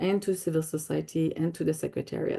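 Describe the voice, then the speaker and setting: A woman speaks at a moderate pace in a dark, mellow tone. The background is quiet. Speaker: biodiversity convention official. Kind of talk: webinar presentation. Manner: halting, many fillers.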